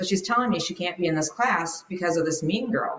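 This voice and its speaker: A woman's plain, everyday voice at a fairly quick pace, with ordinary pitch variation. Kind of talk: interview answer.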